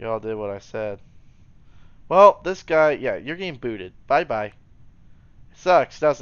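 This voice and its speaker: A man speaks at a fairly slow pace, leaving long, frequent pauses. His pitch swings very widely, his loudness varies greatly, and the background is quiet. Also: fairly high pitch for a man. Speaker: gaming commentator. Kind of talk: gameplay commentary. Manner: animated; occasional mispronunciations. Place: home room.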